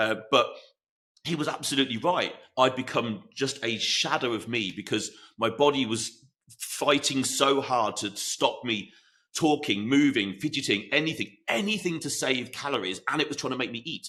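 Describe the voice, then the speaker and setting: A man speaks loudly in a bright, sharp tone. His pitch varies in an ordinary way. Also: medium pitch for a man, moderate pace. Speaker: fitness coach and podcast host. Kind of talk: solo podcast talk.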